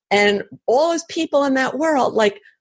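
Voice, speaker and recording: In an American accent, a woman with a normal speaking voice talks at a fairly slow pace. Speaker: author and brain researcher. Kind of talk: interview.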